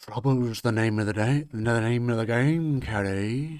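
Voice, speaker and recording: At a moderate pace, a man at medium pitch performs a put-on character voice. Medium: actual play. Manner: stuttering, conspiratorial.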